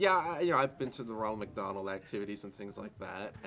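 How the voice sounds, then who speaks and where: This is a man speaking. His pitch is fairly low. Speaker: college student. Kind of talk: interview. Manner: halting with many fillers.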